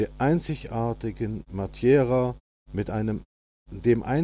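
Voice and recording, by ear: The reading aloud is done in a natural voice, and its pitch varies in an ordinary way. Quiet surrounds it.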